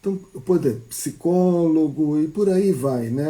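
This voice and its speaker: Speaking with a Brazilian accent, a man has a fairly high pitch and a dark, mellow tone. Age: 60s. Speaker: psychologist. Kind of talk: casual talk on a live stream. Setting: live stream.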